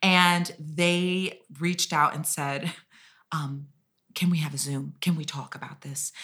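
Speaking very slowly with an American accent, a woman has a very deep, low pitch, a bright, sharp tone and fairly even intonation. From US Midwest, Kansas City. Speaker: musical theatre actress. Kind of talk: casual chat.

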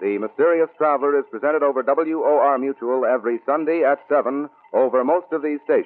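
A man speaks in an unremarkable speaking voice, fairly high in pitch, at a fairly quick pace with very even loudness, fairly even intonation and hardly any pauses. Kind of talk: 1940s radio announcer reading credits and program promo. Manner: brisk, formal, polished announcer delivery.

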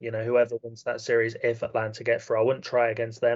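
Medium-pitched, monotone, flat delivery from a man with a British accent. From UK. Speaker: basketball analyst. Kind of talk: casual chat.

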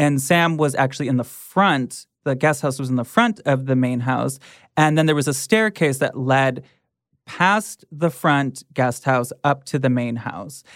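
The recording is very clean, with a silent background. A woman with an American accent speaks at a fairly slow pace in a very deep, low pitch. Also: ordinary pitch variation. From Michigan. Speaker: podcast host and comedian. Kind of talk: casual chat. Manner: loud.

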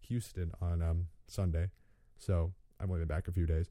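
The recording is very clean with a silent background. A man speaks in a very deep, low voice with a dark, mellow tone, somewhat breathy. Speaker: gaming podcast host. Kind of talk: solo podcast monologue. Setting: home studio. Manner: fast; halting.

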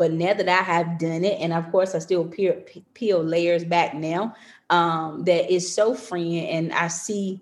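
A woman with an American accent and an ordinary speaking voice talks at a moderate pace, her pitch fairly low and her intonation fairly even. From North Carolina. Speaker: educator and author. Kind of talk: interview testimony.

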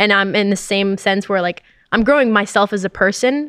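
A woman with a normal speaking voice talks at a fairly quick pace and medium pitch with ordinary pitch variation, the sound dry and close with no echo. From Canada. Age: 20s. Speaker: esports gamer. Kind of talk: casual chat.

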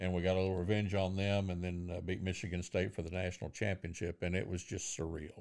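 Very deep and low, a man's voice with an American accent goes at a very fast pace in a monotone, flat intonation, on a very clean recording with a silent background. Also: hardly any pauses. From Lubbock, Texas. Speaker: radio broadcaster. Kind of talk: casual chat.

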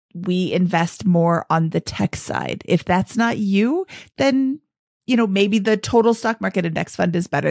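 A woman with an unremarkable speaking voice speaks at a moderate pace with ordinary pitch variation. The recording is very clean, with a silent background and a dry, close sound with no echo. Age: 50s. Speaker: finance podcast host. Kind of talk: casual chat.

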